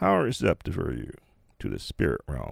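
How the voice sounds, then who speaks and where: Recorded very cleanly against a silent background, a man speaks at a fairly slow pace. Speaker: meditation teacher and podcast host. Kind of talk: guided meditation. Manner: slow, calm, soothing, hushed, with long pauses; gently instructive, second-person storytelling.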